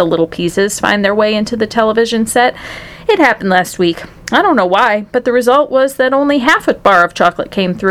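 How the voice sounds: Reading in a natural voice.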